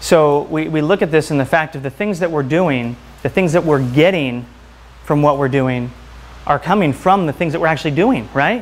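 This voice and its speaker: With ordinary pitch variation, a man talks at a fairly high pitch. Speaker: chiropractor and health speaker; presenter. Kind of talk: lecture. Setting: stage with audience. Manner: fast talker when excited. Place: home room. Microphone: lapel.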